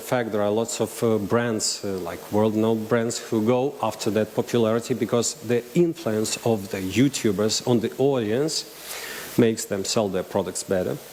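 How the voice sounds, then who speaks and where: Over noticeable background noise, a man with a Russian accent talks at a moderate pace and medium pitch, his intonation fairly even. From Russian-speaking region. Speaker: marketing agency director. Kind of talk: conference talk. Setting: stage with audience. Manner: halting.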